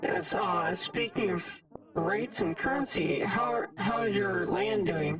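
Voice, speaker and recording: Over loud background noise, a raspy, put-on character voice with a fairly high pitch talks at a fairly slow pace. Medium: virtual streamer.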